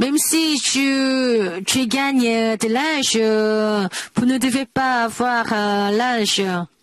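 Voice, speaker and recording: Over noticeable background noise, a woman with a high voice talks at a very slow pace, her loudness very even and her pitch varying in an ordinary way. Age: 80s+. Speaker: preacher. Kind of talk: sermon. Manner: halting, many hesitations.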